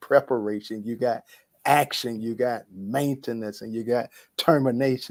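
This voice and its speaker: Recorded very cleanly against a silent background, a man speaks with an American accent at a medium pitch. His delivery is fairly slow, with fairly even intonation. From US South, Atlanta, Georgia. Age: 60s. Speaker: university dean and academic. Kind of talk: talk show interview. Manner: repeats words, halting starts.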